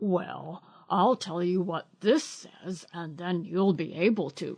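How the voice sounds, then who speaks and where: In a put-on character voice, a female-sounding speaker growls at a middle pitch. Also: fairly slow pace. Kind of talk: bedtime story. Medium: read story. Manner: pompous, grand-sounding.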